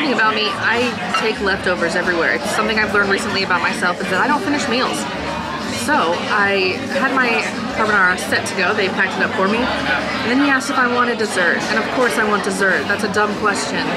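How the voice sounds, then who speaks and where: Amid crowd noise in the background, a woman speaks very fast with ordinary pitch variation. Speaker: food vlogger. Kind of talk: casual vlog chat. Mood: cheerful, enthusiastic. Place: cafe.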